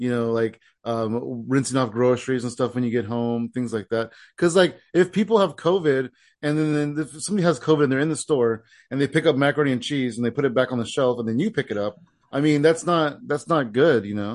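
A man with a plain, everyday voice talks at a fairly quick pace and medium pitch. His pitch variation is ordinary, and the background is quiet. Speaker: comedy podcast host and comedian. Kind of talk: casual chat.

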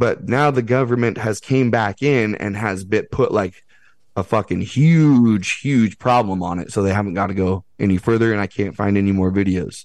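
With a normal speaking voice, a man talks at a fairly low pitch and moderate pace, his pitch varying in an ordinary way over a quiet background. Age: 30s. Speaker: podcaster and outdoor school founder. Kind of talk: casual chat.

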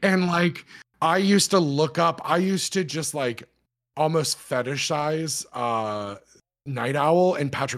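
In an animated tone, the speaker talks at a fairly slow pace with ordinary pitch variation. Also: man. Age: 30s. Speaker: podcast host. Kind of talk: casual chat.

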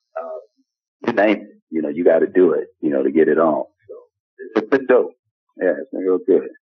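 A man talks at a fairly quick pace but with long, frequent pauses, his loudness swinging widely. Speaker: actor. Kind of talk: interview answers.

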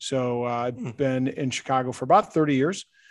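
A man speaks at a fairly quick pace with an American accent, his pitch medium and its variation ordinary. The recording is very clean, with a silent background. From central Illinois and St. Louis, Missouri. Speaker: rugby commentator and parent. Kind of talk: casual interview. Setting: outdoors at a rugby ground.

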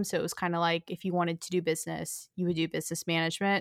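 A woman with an American accent at a very fast pace, dry and close with no echo, on a very clean recording with a silent background. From North Texas. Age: 20s. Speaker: lifestyle content creator. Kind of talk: casual interview.

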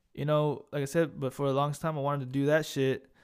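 At a moderate pace, a man speaks over a silent background in a very clean recording. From Corpus Christi, Texas. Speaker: podcast host, army veteran. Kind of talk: casual rambling intro, profane. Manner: casual, profane, dark humor.

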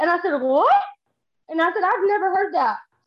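A woman speaks with a Texan accent and lively intonation. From Texas. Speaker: social media creator. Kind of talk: casual chat.

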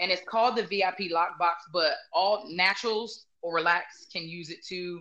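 This woman has a normal speaking voice at medium pitch. She talks at a fairly slow pace with fairly even intonation. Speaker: salon owner and stylist. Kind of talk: casual interview chat.

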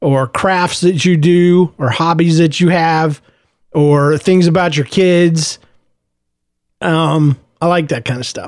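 A very slow, high-pitched man with fairly even intonation and long, frequent pauses. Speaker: podcast host. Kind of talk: personal audio journal monologue. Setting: home office. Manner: conversational; subdued, not audibly happy.

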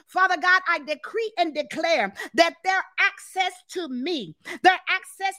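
A woman's raised, projected voice, intense and bright with a sharp tone. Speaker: deliverance ministry leader and prayer host. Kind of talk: fervent prayer, spiritual warfare intercession. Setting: live stream to online viewers. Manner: intense, commanding, rhythmic and repetitive, building in passion; warm, enthusiastic, greets viewers animatedly.

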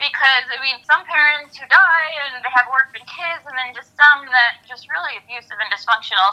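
A woman speaks in a raised, projected voice. Her tone is bright and sharp, and her pitch is high. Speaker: guest, foster care advocate and author. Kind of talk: interview, personal testimony.

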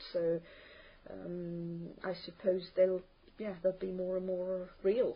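Her intonation flat and monotone, a woman speaks at a very slow pace. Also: medium pitch for a woman. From Italy, Terni in Umbria. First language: Italian. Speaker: language test candidate. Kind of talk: spoken exam interview. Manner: hesitant, many fillers.

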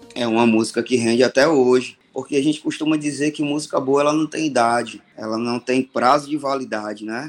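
Over music in the background, the speaker moves at a fairly quick pace with hardly any pauses and fairly even intonation. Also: man, medium pitch for a man. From Ceará, Brazil (Fortaleza). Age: 40s. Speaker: songwriter. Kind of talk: storytelling interview.

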